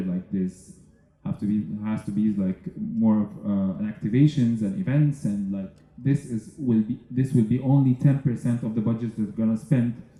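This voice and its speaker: A man with a medium pitch and a dark, mellow tone talks at a moderate pace with ordinary pitch variation. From Egypt. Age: 30s. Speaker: entrepreneur and festival speaker. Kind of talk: conference talk. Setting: stage with audience. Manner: halting, many fillers.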